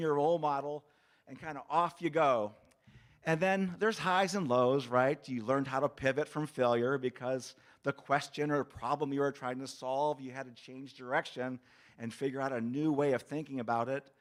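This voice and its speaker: The intonation stays fairly even while the loudness swings a lot. The recording is very clean, with a silent background. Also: man. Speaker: university leader giving ceremony address. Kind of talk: commencement speech. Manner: fast.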